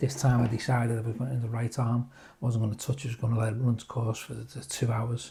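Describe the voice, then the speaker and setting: A man talks at a medium pitch with a Liverpool accent. His voice is somewhat breathy. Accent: Scouse (Liverpool). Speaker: cancer patient vlogger. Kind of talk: personal vlog update. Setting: just after chemo session. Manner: halting, many fillers.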